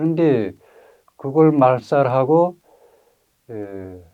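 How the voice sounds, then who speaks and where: A man speaks at a very slow pace. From North Korea, Ryanggang Province. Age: 60s. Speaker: North Korean defector, witness. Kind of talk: testimony interview. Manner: hesitant, many filler sounds.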